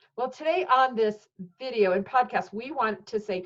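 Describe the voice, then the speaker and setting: A woman speaks in an ordinary speaking voice. Her pitch is fairly high and her pace is moderate. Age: 50s. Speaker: podcast host. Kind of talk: interview. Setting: video interview.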